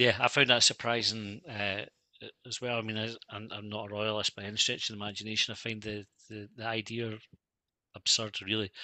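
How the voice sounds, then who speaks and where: A man talks fairly quickly in an Edinburgh accent, his pitch fairly low. His intonation is monotone and flat, with big swings in loudness. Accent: Scottish (Edinburgh). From Scotland. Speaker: football fan podcaster. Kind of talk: casual interview chat. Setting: remote video call.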